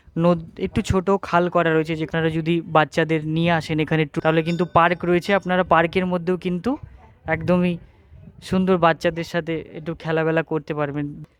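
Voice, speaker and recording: Recorded with a dry, close sound and no echo, a man talks at a high pitch in a monotone, flat intonation. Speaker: travel vlogger. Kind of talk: travel vlog narration. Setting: outdoors at a temple. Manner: casual, unscripted.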